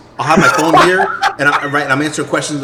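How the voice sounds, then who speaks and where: Over noticeable background noise, a man speaks with a New York accent at a fairly high pitch. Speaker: gaming community member. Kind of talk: casual chat. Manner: loud.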